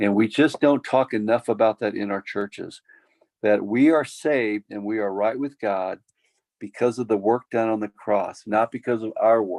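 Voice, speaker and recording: A man with an American accent and an unremarkable speaking voice talks at a moderate pace and medium pitch, the sound dry and close with no echo. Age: 60s. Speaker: pastor. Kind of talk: Q&A workshop. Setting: video call.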